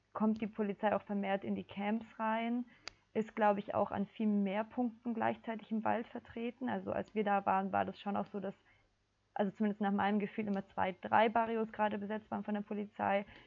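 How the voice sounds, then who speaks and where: Speaking in a monotone with flat intonation, a woman holds a medium pitch. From southern Germany (Ulm). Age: 20s. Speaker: climate activist, psychology student. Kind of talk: casual interview.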